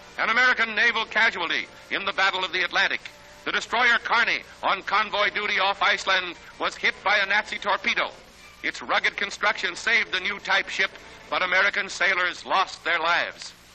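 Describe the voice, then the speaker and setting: A high-pitched man with fairly even intonation at a fairly quick pace, amid noticeable background noise. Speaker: newsreel narrator. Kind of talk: newsreel narration.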